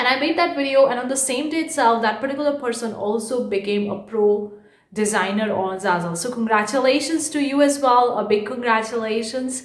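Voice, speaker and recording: A woman with a high pitch at a fairly quick pace with hardly any pauses, amid noticeable background noise and audible room echo. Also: ordinary pitch variation. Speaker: online art entrepreneur YouTuber. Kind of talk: casual vlog. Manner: fast.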